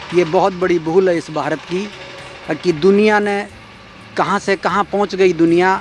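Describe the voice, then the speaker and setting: With music playing behind him, a man speaks at a high pitch in a monotone, flat way. Long pauses come often. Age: 60s. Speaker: pilgrim on a tour. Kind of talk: interview remarks.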